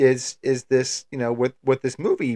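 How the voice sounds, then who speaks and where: A man with an American accent speaks at a moderate pace, recorded with a dry, close sound and no echo. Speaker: film podcast co-host. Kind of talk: casual chat. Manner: hesitant, filler-heavy.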